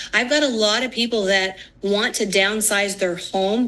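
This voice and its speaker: Bright and sharp in tone, a woman's medium-pitched voice moves at a moderate pace with fairly even intonation. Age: 60s. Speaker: financial firm founder and former mortgage lender. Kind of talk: TV news interview. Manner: casual, with fillers.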